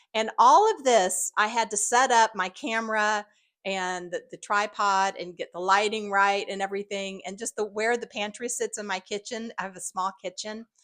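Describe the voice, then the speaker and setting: Against a quiet background, a woman with a bright, sharp tone and fairly high pitch speaks at a moderate pace with fairly even intonation, in a dry, close sound with no echo. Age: 60s. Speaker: YouTuber. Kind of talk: casual vlog monologue. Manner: halting, many fillers.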